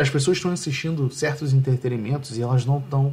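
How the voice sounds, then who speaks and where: A somewhat breathy man at a medium pitch talks fairly quickly with fairly even intonation. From Rio de Janeiro, Brazil. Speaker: podcast host. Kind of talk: casual chat.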